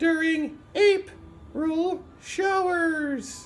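A cartoonish character voice speaks at an extremely high pitch. Background noise is clearly audible. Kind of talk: comedy joke sketch. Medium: puppet.

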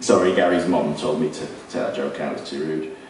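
Room echo can be heard around a man's voice. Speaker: beat poet performing. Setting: live on stage at a social club with an audience. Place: stage. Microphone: camera far.

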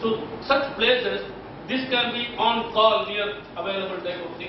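A man speaks with a high pitch. There is audible room echo and noticeable background noise. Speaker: guest lecturer. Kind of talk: lecture. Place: hall.

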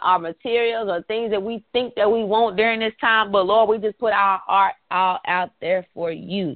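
Over a quiet background, a woman speaks at a moderate pace. Her tone is animated, with ordinary pitch variation. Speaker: prayer call leader. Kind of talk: prayer call; fervent prayer, repetitive and rhythmic. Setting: phone conference call. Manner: fervent, impassioned, building in cadence with repeated phrases; animated, preacher-like. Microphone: phone line.

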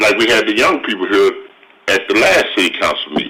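Clear background noise sits behind a man talking fairly quickly with an American accent. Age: 60s. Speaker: city council member. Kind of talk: council meeting debate.

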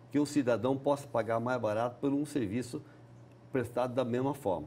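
A man speaks at a moderate pace in a medium pitch, his dark, mellow tone somewhat breathy, with ordinary pitch variation over light background noise. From Paraná, Brazil. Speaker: politician; politician interviewee. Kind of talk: TV interview. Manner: halting. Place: studio. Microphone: lapel.

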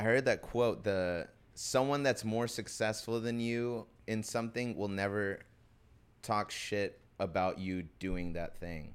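A man's fairly unhurried delivery carries normal pitch movement. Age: 20s. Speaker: actor and DJ; actor, DJ. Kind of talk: casual chat. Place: studio. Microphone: studio mic.

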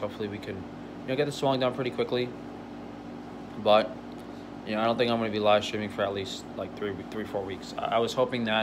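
Over noticeable background noise, the speaker goes at a fairly quick pace with fairly even intonation. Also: man. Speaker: vlogger. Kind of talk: casual vlog chat. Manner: slurred, stiff-jawed speech after surgery. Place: home room. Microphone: phone near.

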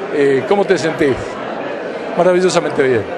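A man with an Argentine accent speaks over noticeable background noise. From Argentina. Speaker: radio announcer. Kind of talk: interview answer. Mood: moved, grateful. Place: hall. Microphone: handheld.

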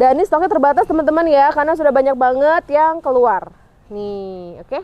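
A woman at a high pitch and very fast pace, in a dry sound with no echo. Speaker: online shop admin and sales presenter. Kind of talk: sales pitch, product showcase. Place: garden.

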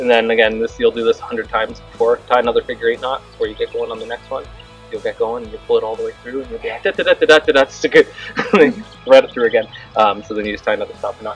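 A man talks at a very fast pace with big swings in loudness. Faint music plays in the background. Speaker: workshop instructor. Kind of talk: tutorial. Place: open country.

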